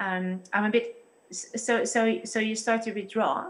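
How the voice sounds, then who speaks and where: A woman's fairly high voice with a Dutch accent and fairly even intonation. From Netherlands. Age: 30s. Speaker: church pastor guest. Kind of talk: interview discussion on faith. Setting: video call.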